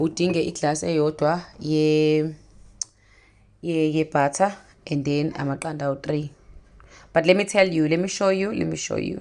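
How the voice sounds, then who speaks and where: Speaking in a Zulu accent at a moderate pace, a woman with a very deep, low pitch and fairly even intonation leaves long, frequent pauses against a quiet background. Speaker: cooking vlogger. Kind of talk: cooking tutorial. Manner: casual, code-switching Zulu and English.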